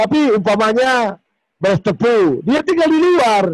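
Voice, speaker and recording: This man's voice makes very wide pitch swings. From Berastagi, Karo, North Sumatra, Indonesia. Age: 40s. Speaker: local community figure. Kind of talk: interview.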